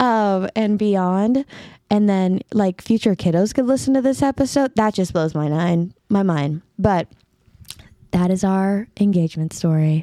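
A woman with an American accent speaks fairly slowly in a dark, mellow tone at very even loudness, with dry, close sound, no echo and a very clean recording with a silent background. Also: medium pitch for a woman, ordinary pitch variation. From California. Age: 20s. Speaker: podcast host. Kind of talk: casual chat. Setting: studio.

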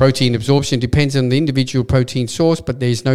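The speaker talks at a very fast pace with an Australian accent. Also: man. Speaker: supplement shop owner and podcast host. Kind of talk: casual chat.

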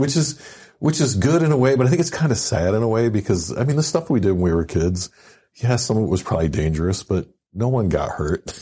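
A man with an American accent talks at a very fast pace in a medium pitch, his tone dark and mellow and somewhat breathy. His pitch swings very widely while his loudness stays very even. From Michigan, city. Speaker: podcast host, veteran. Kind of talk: casual interview.

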